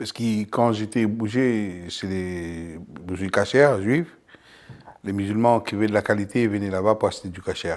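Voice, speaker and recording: In an unremarkable speaking voice, a man talks at a fairly slow pace, fairly low in pitch, with ordinary pitch variation. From abroad, came to France at 28. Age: 60s. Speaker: company founder, butcher. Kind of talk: interview testimony.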